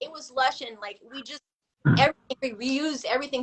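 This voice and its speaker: A high-pitched woman with a Californian accent at a fairly quick pace. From US West Coast, Los Angeles. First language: Filipino language. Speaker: artist and photographer. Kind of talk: casual podcast interview. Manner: casual, heavy filler words.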